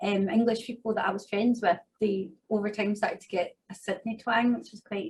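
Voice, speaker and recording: Her loudness swings widely as a somewhat breathy woman talks at a fairly quick pace with ordinary pitch variation. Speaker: migration agent. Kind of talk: interview.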